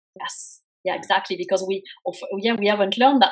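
With a French accent, a woman speaks at a very fast pace. Her medium pitch shows ordinary variation. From France. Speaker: career coach. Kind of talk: interview.

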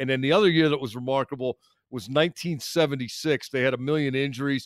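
Talking very fast, a man uses a medium pitch with ordinary pitch variation. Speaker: sports radio panelist. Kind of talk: casual chat.

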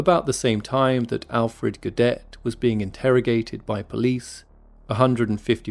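A man talks at a fairly slow pace in a serious tone. His pitch is medium, with music playing in the background. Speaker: podcast host. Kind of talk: dramatic scripted narration of a true mystery story. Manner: hushed, suspenseful, measured storytelling pace; serious, grave, building tension.

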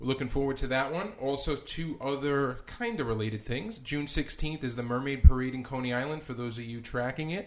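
A man uses a normal speaking voice, keeping a medium pitch and a moderate pace while his pitch varies in an ordinary way. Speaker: podcast co-host. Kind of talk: casual podcast chat.

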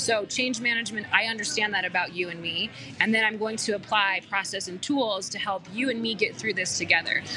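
Over music in the background, a woman with an American accent speaks at a fairly quick pace with fairly even intonation and hardly any pauses. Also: fairly high pitch for a woman. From US, Colorado (Aurora). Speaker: change management consultant. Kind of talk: casual chat. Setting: coffee shop, live.

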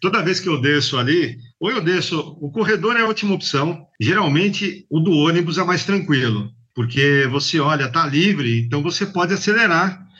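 A man speaks with a bright, sharp tone at a high pitch. His pace is moderate and his intonation lively. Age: 50s. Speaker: logistics manager, former bike courier. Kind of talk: interview.

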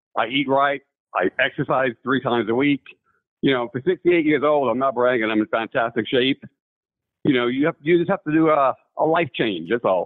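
Speaking at a moderate pace with an American accent, a man has an ordinary speaking voice, medium pitch, ordinary pitch variation and very even loudness. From New York. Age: 60s.

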